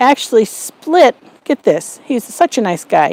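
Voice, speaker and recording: The sound is dry and close, with no echo. A woman talks in an animated tone at a moderate pace. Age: 60s. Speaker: YouTube homesteading and cooking host. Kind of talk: casual chat to camera. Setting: home kitchen.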